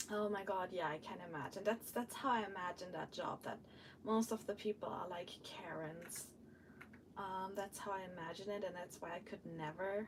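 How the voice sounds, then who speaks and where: Over noticeable background noise, a woman with a medium pitch and fairly even intonation speaks at a moderate pace. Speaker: vlogger / live streamer. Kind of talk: casual work-along live stream chat. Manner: chatty, hesitant with many fillers.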